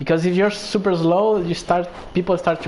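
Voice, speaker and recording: Speaking with a Spanish accent, a man talks at a moderate pace. There is noticeable background noise. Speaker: gaming streamer. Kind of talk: casual chat.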